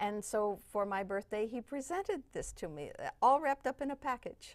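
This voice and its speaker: A high-pitched woman in an American accent, with very wide pitch swings and a moderate pace, on a very clean recording with a silent background. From Northern California, Burlingame. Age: 70s. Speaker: civil rights activist, foundation namesake. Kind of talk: interview. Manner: halting, with fillers.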